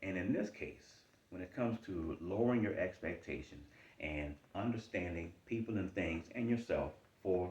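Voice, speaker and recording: Somewhat breathy and very deep and low in pitch, a man with an American accent talks at a moderate pace with ordinary pitch variation. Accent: Charleston Geechee. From US South, Charleston, South Carolina. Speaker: life coach / motivational talker. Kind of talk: motivational talk. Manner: repetitive, emphatic.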